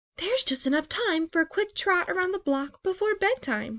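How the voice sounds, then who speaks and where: A woman's put-on character voice, squeaky and extremely high-pitched, with very wide pitch swings at a moderate pace, the sound dry and close with no echo. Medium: read story.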